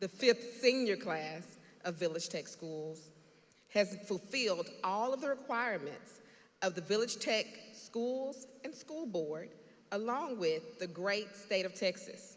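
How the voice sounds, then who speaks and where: Using a normal speaking voice at medium pitch, a woman talks at a fairly slow pace with lively intonation. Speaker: school administrator. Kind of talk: graduation ceremony speech.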